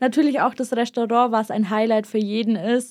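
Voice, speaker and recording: Very clean recording with a silent background. A woman speaks at a high pitch with fairly even intonation. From Bavarian Swabia, southern Germany. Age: young. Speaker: apprentice industrial clerk. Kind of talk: interview.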